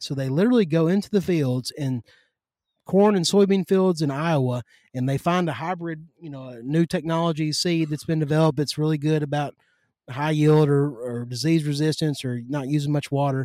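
Here a man with a Kentucky accent speaks at a fairly high pitch with ordinary pitch variation and a fairly quick pace. The recording is very clean with a silent background and a dry, close sound with no echo. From Western Kentucky. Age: 30s. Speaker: agriculture lobbyist. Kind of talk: casual chat. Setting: outdoors in the yard.

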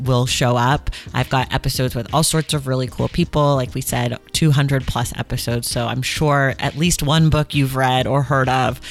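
Animated in tone, a woman with a very deep, low pitch speaks at a moderate pace with hardly any pauses. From US West Coast, Oakland, California. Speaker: podcast host, book podcaster. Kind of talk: casual interview chat.

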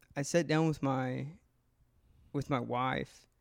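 On a very clean recording with a silent background, a man of fairly high pitch speaks at a fairly slow pace with fairly even intonation. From rural Kentucky. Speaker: medical student and trip sitter. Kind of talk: interview answers. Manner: halting.

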